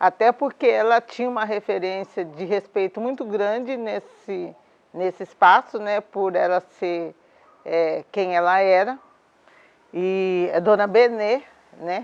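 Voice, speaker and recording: A woman speaks at a very slow pace. Her medium pitch moves with ordinary variation. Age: 60s. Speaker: domestic worker and union leader. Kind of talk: interview testimony. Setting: at her home.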